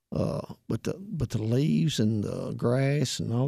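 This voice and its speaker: A man with a Southern US accent, medium pitch and lively intonation. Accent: country Southern US. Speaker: heating and air technician. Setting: radio studio. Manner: sleepy, quiet.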